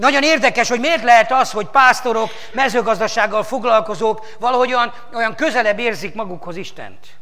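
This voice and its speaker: A man raises and projects an extremely high voice at a fairly quick pace, with ordinary pitch variation. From Hungary. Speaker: pastor. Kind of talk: sermon. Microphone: lapel.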